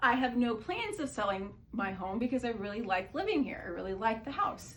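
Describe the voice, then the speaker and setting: Noticeable background noise sits behind a woman whose fairly high voice has lively intonation. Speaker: political commentary vlogger. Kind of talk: casual talk to camera.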